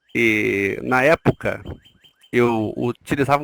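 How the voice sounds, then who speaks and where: A man speaks in a dry, close sound with no echo. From Rio de Janeiro, Brazil. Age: 40s. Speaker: nurse, interview guest. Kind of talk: podcast interview. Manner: hesitant, with fillers.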